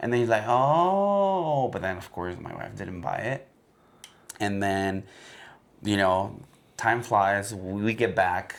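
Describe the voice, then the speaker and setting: A man with a fairly low voice speaks at a very slow pace, with ordinary pitch variation, big swings in loudness and long, frequent pauses. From Mexico, Guadalajara. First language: Spanish. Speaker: podcast co-host. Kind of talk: casual chat. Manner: code-switching Spanish and English.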